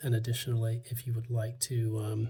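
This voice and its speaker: Soft-spoken and somewhat breathy, a man with a medium pitch and a dark, mellow tone talks in a monotone, flat intonation. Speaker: tarot reader. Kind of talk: tarot reading. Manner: soft-spoken, quiet; hesitant, many fillers.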